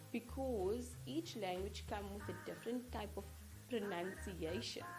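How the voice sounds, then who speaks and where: At a fairly slow pace, a woman talks amid noticeable background noise and audible room echo. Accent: South African. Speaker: English teacher. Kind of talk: tutorial.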